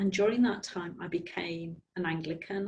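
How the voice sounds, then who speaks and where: Somewhat breathy, a woman talks at a medium pitch. She keeps to a moderate pace. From Belfast, Northern Ireland. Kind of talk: interview answer.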